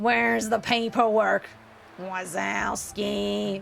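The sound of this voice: A husky put-on character voice at middle pitch moves at a very slow pace over clear background noise.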